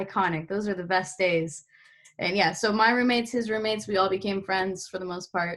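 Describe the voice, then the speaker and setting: A woman with a plain, everyday voice speaks at medium pitch and a fairly quick pace, with fairly even intonation. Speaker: podcast host, college student. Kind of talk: casual chat.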